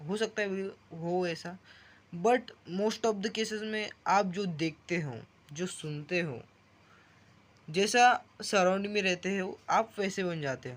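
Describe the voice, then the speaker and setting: A man with a Marathi accent, high-pitched, with ordinary pitch variation. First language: Marathi (speaking Hindi). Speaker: vlogger. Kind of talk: casual vlog monologue. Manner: halting, self-correcting.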